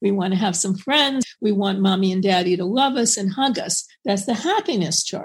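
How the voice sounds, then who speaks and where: A somewhat breathy woman's voice with an American accent, medium pitch and ordinary pitch variation, at a moderate pace with hardly any pauses. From New York. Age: 70s. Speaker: psychotherapist and author. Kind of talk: interview.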